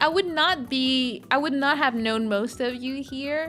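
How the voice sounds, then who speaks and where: A woman speaks in a high pitch. Music plays in the background. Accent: Quebec. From Quebec, Montreal. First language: French. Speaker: streamer. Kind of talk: casual chat. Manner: animated.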